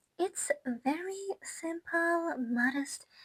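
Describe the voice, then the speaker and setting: A woman speaks with a non-native accent. The sound is dry and close, with no echo. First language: not English. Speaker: gaming YouTuber and musician. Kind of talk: casual product review. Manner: hesitant, many fillers and restarts; enthusiastic.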